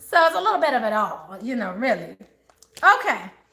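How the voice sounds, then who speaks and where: Raised and projected, a woman's voice with an American accent carries an animated tone at a moderate pace. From Maryland / DC area, US. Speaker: tarot reader. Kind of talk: live tarot reading for viewers. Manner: animated, chatty.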